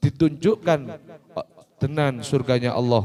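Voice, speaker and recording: The voice belongs to a man. It sits fairly high in pitch. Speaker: Islamic religious teacher. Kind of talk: religious talk to children. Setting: Quran school gathering.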